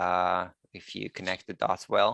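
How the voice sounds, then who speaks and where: A man's bright, sharp tone at a fairly slow pace, dry and close with no echo. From Israel, Haifa. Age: 30s. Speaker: 3D animator and artist. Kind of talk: online panel talk. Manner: halting, many fillers.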